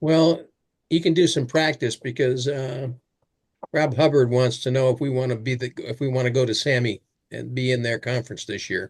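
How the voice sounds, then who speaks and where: At a moderate pace, a man speaks with medium pitch, ordinary pitch variation and a somewhat breathy quality. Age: old. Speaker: fly fishing club host. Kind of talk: casual chat.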